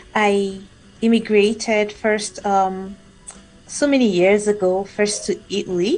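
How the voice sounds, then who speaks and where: Monotone, flat intonation with very even loudness, a fairly slow pace, and long, frequent pauses. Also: woman, medium pitch for a woman. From Nigeria. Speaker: immigrant professional. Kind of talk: interview. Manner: halting, many fillers.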